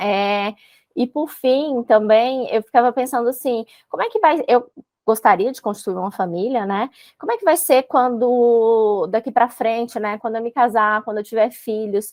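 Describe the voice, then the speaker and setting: Close and dry with no echo, a woman's fairly high voice moves at a moderate pace, with ordinary pitch variation and big swings in loudness. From Brazil, Brasília. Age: 30s. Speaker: civil service exam candidate, court employee. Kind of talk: interview. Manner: hesitant, many fillers.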